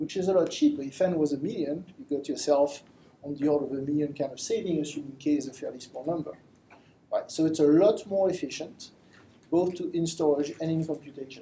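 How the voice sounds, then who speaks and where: Very fast delivery from a man, pitched fairly high, ordinary pitch variation. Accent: French. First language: French. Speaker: machine learning engineer. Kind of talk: lecture. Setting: live stream talk with audience. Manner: halting.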